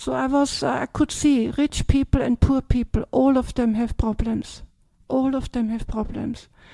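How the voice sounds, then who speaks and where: Her voice high and her intonation monotone and flat, a woman speaks at a moderate pace with an Austrian accent. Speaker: Buddhist nun. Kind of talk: dharma talk Q&A. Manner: hesitant, many fillers.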